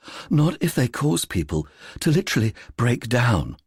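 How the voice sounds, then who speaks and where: A man puts on a husky character voice at a medium pitch, with very wide pitch swings and a moderate pace. The recording is very clean, with a silent background. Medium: read story. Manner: earnest, helpful.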